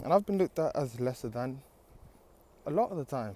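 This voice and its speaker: The tone is dark and mellow. Delivery is fairly quick, with ordinary pitch variation. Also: man. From Zimbabwe. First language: not English. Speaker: dairy farmer. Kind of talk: personal testimony. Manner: halting, with many fillers.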